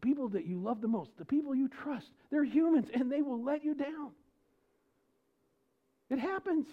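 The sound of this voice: The delivery has lively intonation at a moderate pace. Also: man, extremely high pitch for a man.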